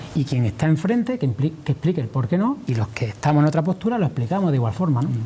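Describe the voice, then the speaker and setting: A man at a fairly high pitch with very wide swings, at a very fast pace amid noticeable background noise. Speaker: farmers' union leader. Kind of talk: TV interview answer.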